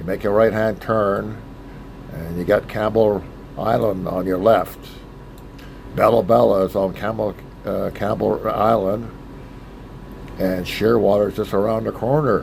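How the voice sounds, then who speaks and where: Noticeable background noise sits behind a man speaking at a fairly slow pace, with long, frequent pauses. His pitch is fairly low and his intonation fairly even. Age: 70s. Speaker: solo boat captain. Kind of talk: casual travel vlog narration.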